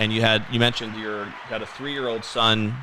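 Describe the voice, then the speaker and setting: Noticeable background noise behind a man's medium-pitched voice, fairly quick in pace with fairly even intonation. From US Northeast (Connecticut). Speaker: podcast host. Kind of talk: interview. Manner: conversational.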